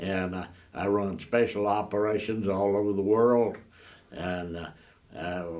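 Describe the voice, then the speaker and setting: A man speaks at a fairly slow pace in a fairly low pitch, his intonation flat and monotone, with long pauses coming often. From Oklahoma, USA. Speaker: retired Special Forces soldier, Medal of Honor recipient. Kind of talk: oral history interview answer.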